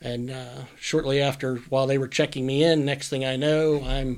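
In an American accent, a man with a normal speaking voice talks at a moderate pace with fairly even intonation. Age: 50s. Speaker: comic shop owner. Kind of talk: casual interview chat.

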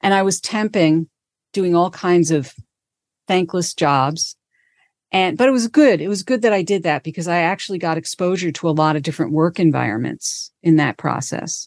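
A woman with a plain, everyday voice, fairly low in pitch, at a moderate pace with ordinary pitch variation, in dry, close sound with no echo and a quiet background. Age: 60s. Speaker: career coach. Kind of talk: interview conversation.

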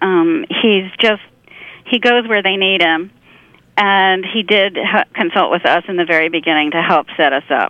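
Speaking at a moderate pace, a woman with an American accent has a plain, everyday voice, a medium pitch, ordinary pitch variation and very even loudness. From Pennsylvania. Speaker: literary agent and farmer. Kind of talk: casual chat.

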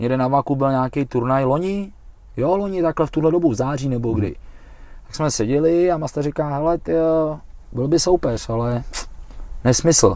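A normal speaking voice, a man at fairly high pitch with ordinary pitch variation. He keeps a moderate pace on a very clean recording with a silent background. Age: 40s. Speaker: Thai boxing coach and fighter. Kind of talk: casual chat. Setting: improvised studio in a van.

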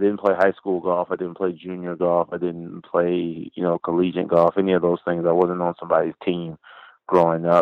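A man with an American accent, very deep and low in pitch, monotone and flat in intonation, at a moderate pace. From US South, Florida (Orlando, Pine Hills). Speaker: professional long drive golfer. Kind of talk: interview.

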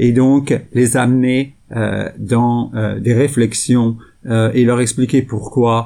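This man talks at a very slow pace in a dark, mellow tone, his intonation monotone and flat. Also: medium pitch for a man. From France. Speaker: sustainable investment executive. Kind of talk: interview. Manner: hesitant, many fillers.

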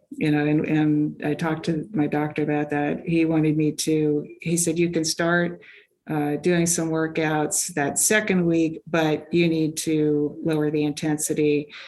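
A woman talks at a fairly slow pace in a very deep, low pitch, with very even loudness, a monotone, flat delivery, hardly any pauses, and noticeable background noise. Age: 60s. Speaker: amateur track cyclist and engineer. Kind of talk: interview.

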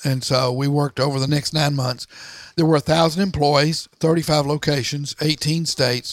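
Here is an ordinary speaking voice with an American accent, at a moderate pace with fairly even intonation. The loudness stays very even, and the sound is dry and close with no echo. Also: man. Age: 60s. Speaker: entrepreneur and author. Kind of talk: interview. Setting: office garage.

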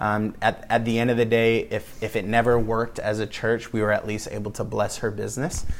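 A man talks at a medium pace, and the room gives his voice an audible echo. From West Michigan, US Midwest. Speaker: pastor. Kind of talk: sermon. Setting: home gathering.

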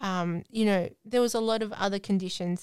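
A woman with an Australian accent speaks at a medium pitch with fairly even intonation, recorded very cleanly against a silent background. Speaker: podcast co-host with FND. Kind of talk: casual chat.

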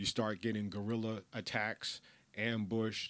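With a New York accent and a fairly low pitch, a man speaks at a moderate pace on a very clean recording with a silent background. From New York, the Bronx. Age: 50s. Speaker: podcast host. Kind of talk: casual monologue. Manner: animated.

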